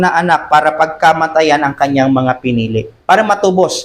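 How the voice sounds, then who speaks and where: A man talks rather slowly, his intonation lively and full of movement. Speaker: pastor. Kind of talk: sermon. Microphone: voice too quiet on mic.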